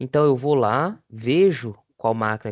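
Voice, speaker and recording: Against a quiet background, a man with a fairly high pitch talks at a moderate pace in an ordinary speaking voice, with ordinary pitch variation and a dry, close sound with no echo. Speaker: vocational course teacher. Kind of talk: online lecture.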